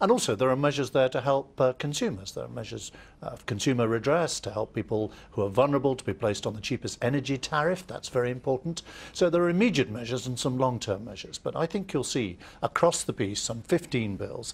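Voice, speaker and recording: A man's somewhat breathy voice at medium pitch and a very fast pace. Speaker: politician. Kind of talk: interview answer.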